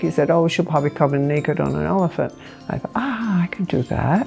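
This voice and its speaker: Over music in the background, a woman with a fairly low pitch talks at a fairly quick pace. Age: 80s+. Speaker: pilot. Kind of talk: interview storytelling. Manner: casual, halting with fillers.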